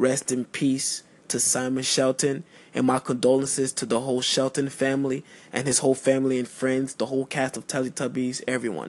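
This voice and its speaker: The speaker uses an American accent and a monotone, flat intonation at a moderate pace. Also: man. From Miami, Florida. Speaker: podcast host and music artist. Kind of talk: casual radio-style monologue. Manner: laid-back, casual.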